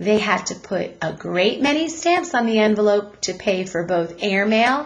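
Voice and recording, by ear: Lively intonation in a natural voice reading aloud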